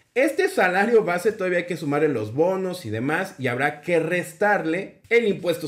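Over a quiet background, a man with a normal speaking voice talks at a moderate pace with lively intonation. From Mexico City. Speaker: teacher and education YouTuber. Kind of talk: tutorial. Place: home room. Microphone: webcam.

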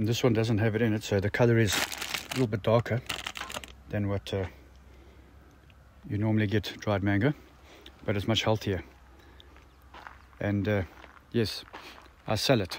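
Against light background noise and with a dry, echo-free sound, a man talks at a moderate pace and a fairly low pitch, his intonation fairly even, with long, frequent pauses. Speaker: road-trip vlogger selling dried fruit. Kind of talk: casual vlog chat. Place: open country. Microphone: phone near.

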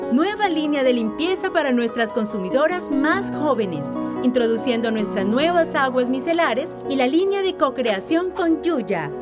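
A woman talks fairly slowly while clear music sounds behind her. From Colombia. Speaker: voice actor. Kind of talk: corporate narration. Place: booth. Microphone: studio mic.

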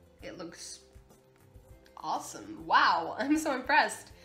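A woman talks at a fairly slow pace with faint music behind her. The room echo is audible. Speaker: vlogger. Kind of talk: casual vlog chat. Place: home room. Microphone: phone near.

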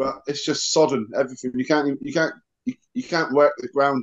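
A man with a Cornish accent against a quiet background. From Cornwall. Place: home room. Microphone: video call.

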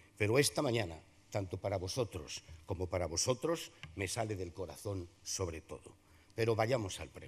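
A man's fairly low voice sounds somewhat breathy, with lively intonation. His loudness takes big swings. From Zamora, Spain; Spain. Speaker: Holy Week proclaimer and veteran radio broadcaster. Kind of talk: solemn poetic oration, Holy Week proclamation delivered to a packed theatre. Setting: theatre stage with audience. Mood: emotional, solemn, poetic. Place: hall. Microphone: podium.

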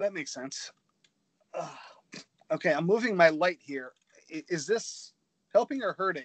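Against a quiet background, a man with a high voice speaks at a moderate pace with lively intonation, big swings in loudness and long, frequent pauses, the sound dry with no echo. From New England. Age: 40s. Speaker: painter; painter co-host. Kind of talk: casual chat. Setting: video call. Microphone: video call.

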